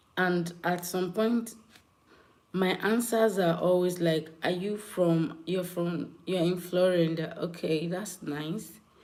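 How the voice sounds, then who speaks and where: Very slow speech with fairly even intonation and audible room echo. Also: woman. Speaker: live streamer. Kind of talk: live stream chat with viewers. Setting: live stream.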